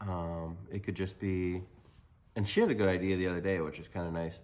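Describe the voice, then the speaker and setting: A man speaks in a very deep, low pitch with monotone, flat intonation. He leaves long, frequent pauses. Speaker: podcast co-host, married to co-host. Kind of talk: casual chat. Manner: loud.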